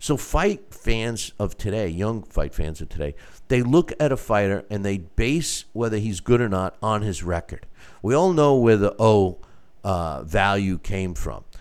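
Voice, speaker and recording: A man speaks at a fairly slow pace in a fairly low pitch with lively intonation. The recording is very clean, with a silent background. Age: 60s. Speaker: boxing show host and manager. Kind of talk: solo live show commentary. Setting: studio, live stream. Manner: halting, many fillers and repeats.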